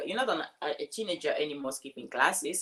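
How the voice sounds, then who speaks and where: A woman's voice with a Cameroonian accent and very wide pitch swings. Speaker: life coach and speaker. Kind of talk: casual interview.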